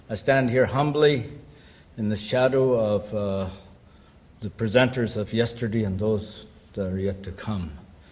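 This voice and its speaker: A man with a fairly low, somewhat breathy voice speaks at a fairly slow pace with long, frequent pauses. His pitch varies in an ordinary way, and room echo is audible. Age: 60s. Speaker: academic speaker. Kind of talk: conference presentation. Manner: halting, many fillers.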